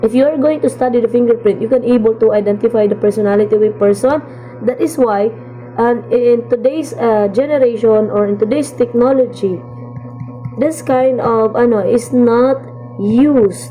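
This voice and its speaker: With music in the background, a woman speaks at a moderate pace and fairly high pitch. Her loudness stays very even, and her pitch varies in an ordinary way. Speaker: college instructor. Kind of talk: lecture. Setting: recorded video lesson.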